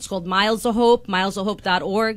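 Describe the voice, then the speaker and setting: A woman speaks with a Long Island accent. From Long Island, New York. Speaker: taxi company owner. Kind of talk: radio interview. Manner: animated.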